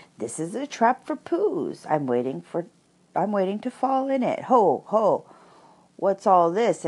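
Putting on a squeaky character voice, a man talks at a very slow pace with a high pitch and very wide pitch swings.

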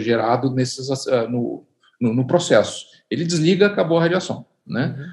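This man's speech comes at a moderate pace and medium pitch, somewhat breathy, with pitch that varies in an ordinary way. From Brazil, Curitiba, Paraná. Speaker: physicist and laboratory director. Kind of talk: interview. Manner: hesitant, many fillers.

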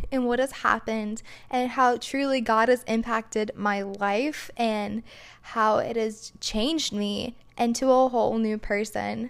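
A woman's unremarkable speaking voice, fairly high in pitch, at a fairly slow pace with fairly even intonation. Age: 20s. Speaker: podcast host and princess performer. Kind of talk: casual monologue.

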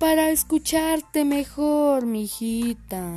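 A woman's high, put-on character voice at a very slow pace

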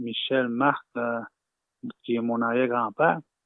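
Very slowly, a man speaks at medium pitch with fairly even intonation. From Lower North Shore, Quebec (Innu community). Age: 30s. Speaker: Innu community member. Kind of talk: interview testimony. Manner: halting.

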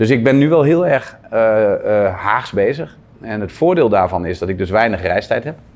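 A man with an ordinary speaking voice talks at a moderate pace, his medium pitch carried by lively intonation. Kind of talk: interview. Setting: at a table with interviewer.

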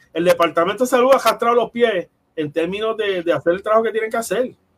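Speaking at a very fast pace with a Puerto Rican accent, a man uses a high pitch and lively intonation. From Puerto Rico, Ponce. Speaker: nutrition professor. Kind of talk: interview.

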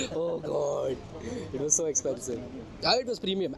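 Noticeable background noise runs under a man who speaks at a fairly quick pace. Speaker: podcast host. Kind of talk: casual chat. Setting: outdoors.

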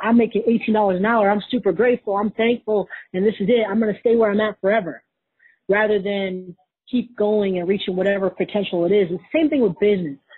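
In a plain, everyday voice, a woman talks with an American accent at a fairly quick pace. Her pitch is medium with ordinary pitch variation. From Wisconsin, US Midwest. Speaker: Navy veteran and entrepreneur. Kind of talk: casual interview.

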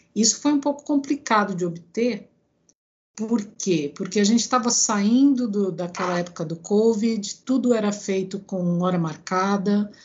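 Somewhat breathy female speech at a medium pitch, fairly slow in pace, with ordinary pitch variation. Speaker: engineer and professor. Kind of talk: interview.

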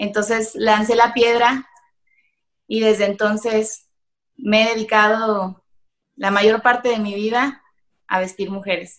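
A woman with a Mexican accent talks very slowly at a fairly high pitch, her intonation fairly even and broken by long, frequent pauses. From Mexico, Michoacán. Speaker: entrepreneur. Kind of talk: interview. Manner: halting.

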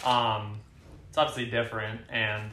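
A man's bright, sharp tone amid audible room echo. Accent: American. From US West Coast, Oakland, California. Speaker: startup employee. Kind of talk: casual chat. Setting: apartment. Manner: hesitant, many fillers.

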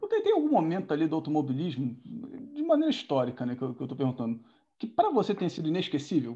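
Very fast speech in a dark, mellow tone rides on very wide pitch swings. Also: man, fairly high pitch for a man. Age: 20s. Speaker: podcast host, sim racer. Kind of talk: casual interview. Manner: halting, many fillers.

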